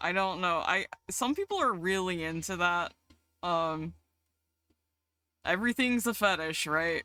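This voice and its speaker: In a Southern US accent, the speaker goes at a fairly slow pace with long, frequent pauses. The recording is very clean, with a silent background. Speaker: streamer. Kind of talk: casual chat. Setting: live stream. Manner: animated.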